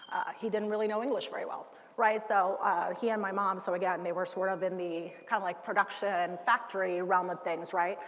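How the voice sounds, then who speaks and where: Amid audible room echo, a woman speaks at a fairly quick pace in a medium pitch with fairly even intonation. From United States, moved from Cuba at six. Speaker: ergonomics expert, keynote speaker. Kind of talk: conference keynote. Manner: casual, many fillers.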